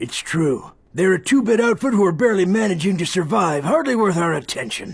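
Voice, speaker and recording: A man speaks in a put-on character voice. His pitch is high and his pace fairly quick. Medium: fan dub. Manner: dismissive.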